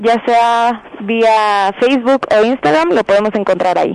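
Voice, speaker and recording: A woman with a plain, everyday voice, fairly high in pitch, at a fairly slow pace with ordinary pitch variation. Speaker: student council member. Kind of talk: radio interview.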